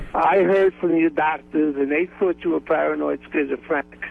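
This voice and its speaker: A man's fairly high-pitched voice against noticeable background noise. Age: 60s. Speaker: lawyer. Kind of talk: phone-in call to radio show. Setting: phone call.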